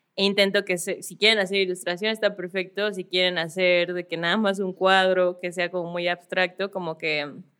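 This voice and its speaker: At a moderate pace and with hardly any pauses, a woman speaks at a medium pitch in a monotone, flat intonation. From Mexico City. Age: 20s. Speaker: illustrator and influencer. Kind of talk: casual interview. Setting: studio.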